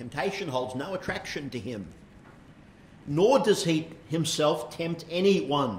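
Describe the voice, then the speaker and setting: A man with an Australian accent speaks at a fairly slow pace with long, frequent pauses, amid light background noise and audible room echo. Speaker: pastor. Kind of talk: sermon. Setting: church. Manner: hesitant, frequent fillers. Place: church. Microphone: lapel.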